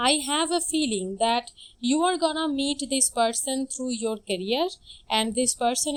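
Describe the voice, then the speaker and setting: A woman talks at a fairly slow pace in a non-native accent. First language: not English. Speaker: tarot reader. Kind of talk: tarot reading.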